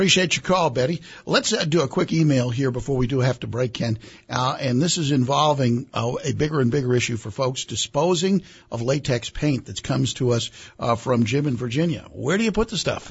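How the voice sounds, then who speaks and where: Somewhat breathy speech at a fairly quick pace with ordinary pitch variation. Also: man, medium pitch for a man. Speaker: radio co-host. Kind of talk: radio hosting and announcements.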